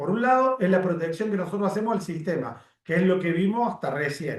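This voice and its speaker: A man's high-pitched voice with lively intonation at a fairly quick pace. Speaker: teacher of occupational safety. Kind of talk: lecture. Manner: fast.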